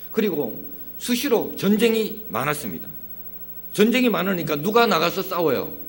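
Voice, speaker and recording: A man's high voice in a strong Gyeongsang accent, lively in intonation, moderate in pace with long, frequent pauses, with audible room echo and music in the background. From Gyeongsang region, South Korea. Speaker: pastor. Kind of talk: sermon.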